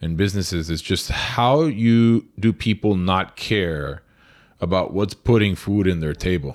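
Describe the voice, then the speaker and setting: Here a man speaks with a very deep, low pitch and ordinary pitch variation. His pace is moderate, and the recording is very clean with a silent background. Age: 30s. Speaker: restaurant owner. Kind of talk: casual interview.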